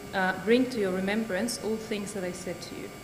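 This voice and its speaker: Noticeable background noise runs through the clip. The speaker is a woman. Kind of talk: sermon-style talk. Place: church.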